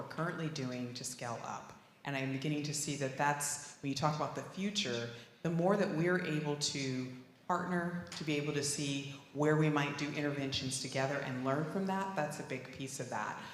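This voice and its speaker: A woman with a very deep, low pitch, a moderate pace and fairly even intonation, amid noticeable background noise and audible room echo. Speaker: regional consortium chair. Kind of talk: panel discussion.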